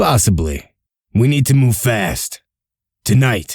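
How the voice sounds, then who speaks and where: A man puts on a raspy character voice at a medium pitch, talking at a fairly slow pace in a very clean recording with a silent background. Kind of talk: comic dub.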